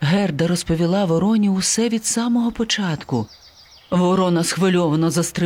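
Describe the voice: With ordinary pitch variation, the delivery is plain reading aloud.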